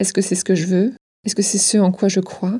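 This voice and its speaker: A woman with a dark, mellow, somewhat breathy tone speaks at a moderate pace. The recording is very clean, with a silent background. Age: 30s. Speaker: podcast host. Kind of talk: scripted narration.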